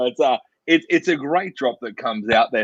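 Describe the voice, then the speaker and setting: With an Australian accent, a man talks at a moderate pace in a fairly high pitch that swings very widely, and the sound is dry and close with no echo. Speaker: drinks show host. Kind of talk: virtual wine tasting masterclass. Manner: casual.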